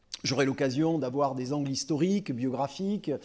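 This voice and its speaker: This man has a fairly high pitch and a dark, mellow tone, with a Gascon accent. His pitch varies in an ordinary way. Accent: southwestern French (Landes), noticeable. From southwest France (Landes). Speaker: literature lecturer, trains French teachers. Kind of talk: public lecture. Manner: hesitant, many 'euh' fillers.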